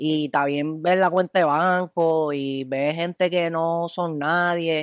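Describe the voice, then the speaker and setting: A man at a very slow pace, hardly any pauses, in a dry, close sound with no echo and a quiet background. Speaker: comedy video creator. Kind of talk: casual chat.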